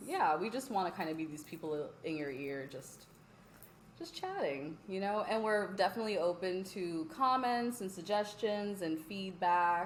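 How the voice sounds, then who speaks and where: In an American accent, a woman talks at a moderate pace and a medium pitch with an animated tone and lively intonation, with audible room echo. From US East Coast, Philadelphia family, Virginia. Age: 20s. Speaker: podcast co-host. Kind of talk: casual chat.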